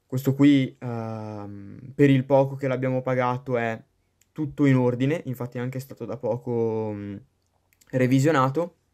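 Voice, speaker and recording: Using a normal speaking voice, a man talks at a fairly slow pace and medium pitch, with fairly even intonation and big swings in loudness. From Padua, Veneto. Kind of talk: recorded video presentation.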